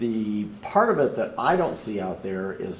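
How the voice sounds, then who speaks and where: Somewhat breathy, a man talks at a moderate pace with audible room echo around him. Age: 70s. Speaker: audience member. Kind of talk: public Q&A comment.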